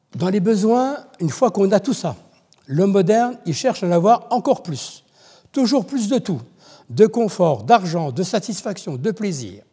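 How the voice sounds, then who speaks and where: Dark and mellow in tone, a man with a high pitch talks at a fairly slow pace with very wide pitch swings. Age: 70s. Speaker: church member giving testimony. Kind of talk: testimony. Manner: halting, many repetitions.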